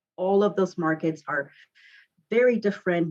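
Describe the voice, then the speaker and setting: A woman talks at a moderate pace. She speaks with a Mexican accent. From Mexico, Guadalajara. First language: Spanish. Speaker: realtor. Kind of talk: podcast interview.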